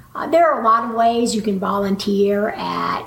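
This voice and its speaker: With an American accent, a woman speaks fairly slowly in a fairly high pitch, amid noticeable background noise and audible room echo. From Texas, Waco. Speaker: veterinarian. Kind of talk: interview.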